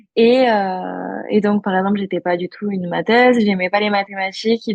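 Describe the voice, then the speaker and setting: A woman with an unremarkable speaking voice talks at a medium pitch, her intonation fairly even. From rural France (Aveyron). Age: 20s. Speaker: entrepreneur. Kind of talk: interview.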